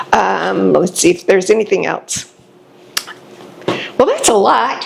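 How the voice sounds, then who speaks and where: Noticeable background noise sits behind a woman's voice. She speaks at a fairly slow pace. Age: 70s. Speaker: patient. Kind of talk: testimonial interview. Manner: halting.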